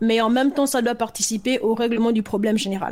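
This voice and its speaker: Pitched fairly high, a woman talks in an unremarkable speaking voice with typical pitch movement. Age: 30s. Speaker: author and entrepreneur. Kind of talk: casual interview.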